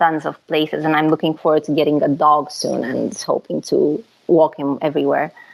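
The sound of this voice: A woman talks at a moderate pace in a low pitch with vocal fry. Her voice has a slightly husky edge and little pitch movement.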